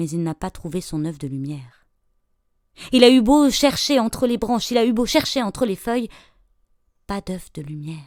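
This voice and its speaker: A woman speaks at a moderate pace in a fairly high pitch, her pitch swinging very widely and her loudness rising and falling sharply. Long, frequent pauses break up her speech on a very clean recording with a silent background. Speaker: storyteller. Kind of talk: folk tale storytelling.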